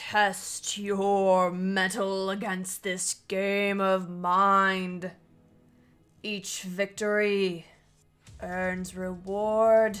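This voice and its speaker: In a put-on character voice, a woman speaks very slowly. Her pitch sits in the medium range. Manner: ominous, commanding.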